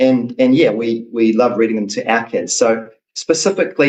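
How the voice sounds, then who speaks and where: A man with a New Zealand accent speaks at a medium pitch. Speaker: children's book author. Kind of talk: interview.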